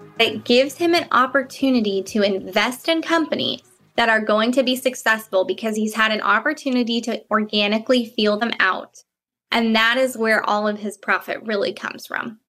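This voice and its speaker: A woman speaks with an American accent at a moderate pace and ordinary pitch variation. Music plays in the background. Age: 20s. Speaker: former social media marketing assistant. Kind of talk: personal testimony.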